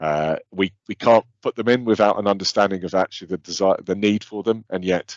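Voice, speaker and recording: The pace is moderate. A man speaks with ordinary pitch variation. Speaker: water company presenter. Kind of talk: webinar presentation. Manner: halting.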